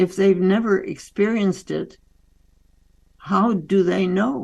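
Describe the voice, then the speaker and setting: The speech moves at a very slow pace with vocal fry. Intonation stays fairly even throughout. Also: woman, medium pitch for a woman. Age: 80s+. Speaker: doctor and author. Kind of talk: interview.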